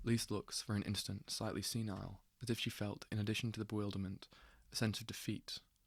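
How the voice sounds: Someone reads aloud. The voice sounds natural.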